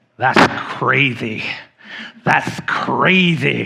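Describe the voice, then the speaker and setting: A man does a raspy put-on character voice at a medium pitch. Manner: mocking, repeated catchphrase.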